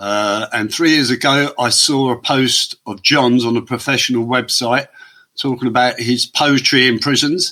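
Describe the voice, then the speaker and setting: This man talks at a moderate pace with an English accent and a medium pitch. His intonation stays fairly even, and his tone is bright and sharp. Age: 60s. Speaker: former prisoner turned artist. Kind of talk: podcast interview.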